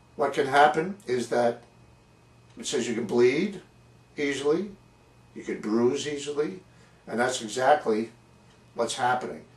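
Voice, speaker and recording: A somewhat breathy man's voice with long, frequent pauses. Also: medium pitch for a man, ordinary pitch variation, fairly slow pace. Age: 70s. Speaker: patient video blogger. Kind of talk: personal testimony vlog. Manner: halting, repeating words.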